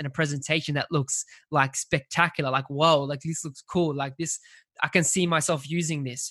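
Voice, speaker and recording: With an Australian accent, the speaker uses a bright, sharp tone and fairly even intonation at a moderate pace against a quiet background. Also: man. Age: 20s. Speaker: graphic designer. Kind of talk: casual interview.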